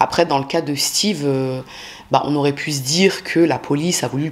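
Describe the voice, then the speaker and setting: This woman's voice is very deep and low-pitched. Her intonation is fairly even. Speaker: true crime youtuber. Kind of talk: casual true crime narration. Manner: fast; casual, many fillers.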